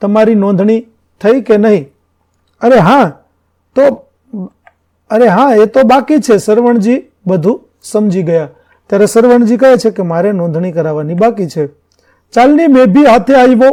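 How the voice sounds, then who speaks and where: Lively intonation runs through a voice with a dark, mellow tone. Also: man, high pitch for a man. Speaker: school teacher. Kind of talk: lecture.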